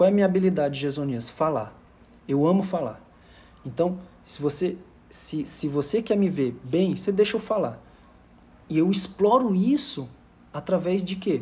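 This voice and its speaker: Long, frequent pauses break up a man's high-pitched voice, which has a dark, mellow tone. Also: lively intonation, moderate pace. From Fortaleza, Ceará, Brazil. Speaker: emotional intelligence coach. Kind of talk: live stream talk. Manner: animated.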